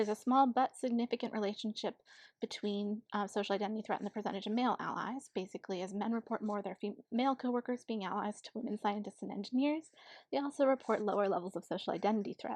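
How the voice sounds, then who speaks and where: A woman talks at a very fast pace with a fairly high pitch. The sound is dry and close, with no echo. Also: fairly even intonation. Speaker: psychology researcher. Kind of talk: conference talk. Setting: home recording, limited quality.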